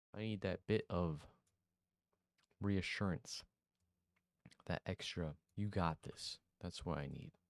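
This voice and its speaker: A man speaks at a very slow pace with long, frequent pauses, his very deep, low voice carrying ordinary pitch variation in a dry, close sound with no echo. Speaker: game dev YouTuber. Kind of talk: tutorial. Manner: animated.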